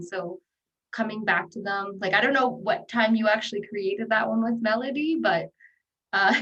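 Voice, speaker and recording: This woman uses a plain, everyday voice at a moderate speed, and her pitch varies in an ordinary way. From Western Arctic, Northwest Territories, Canada. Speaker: panel moderator. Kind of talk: panel moderation.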